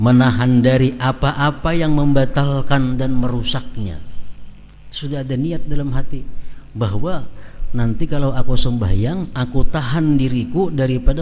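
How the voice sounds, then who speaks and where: Man with a South Kalimantan accent at a moderate pace, with audible room echo and noticeable background noise. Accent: Banjar-accented Indonesian. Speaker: Islamic preacher. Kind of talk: religious lecture.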